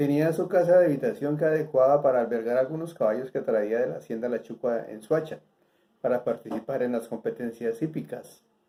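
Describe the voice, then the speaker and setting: This man has a dark, mellow tone with fairly high pitch. He moves at a fairly quick pace with ordinary pitch variation. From Colombia, Bogotá. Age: 70s. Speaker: former horse racing insider. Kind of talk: interview answers, reminiscence.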